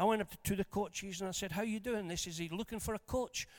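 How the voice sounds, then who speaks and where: With an animated tone, a man talks at a fairly quick pace in a high pitch with ordinary pitch variation, the sound dry and close with no echo. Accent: Scottish. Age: 60s. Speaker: preacher. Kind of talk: sermon. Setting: church.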